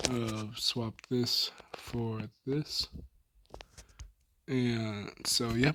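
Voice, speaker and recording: A soft-spoken voice with long, frequent pauses. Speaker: gaming youtuber. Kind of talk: gameplay tutorial. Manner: casual, filler-heavy.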